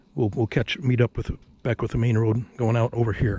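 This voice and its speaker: A man speaks at a moderate pace in a dark, mellow, somewhat breathy tone. The sound is dry, with no echo. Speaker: vlogger on a road trip. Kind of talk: casual vlog chat. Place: open country. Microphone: phone near.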